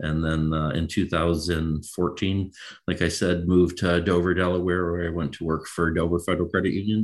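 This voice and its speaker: A man's very deep, low voice with an American accent, at a moderate pace in monotone, flat intonation, against a quiet background. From Michigan, Macomb County. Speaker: credit union CEO. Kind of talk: interview.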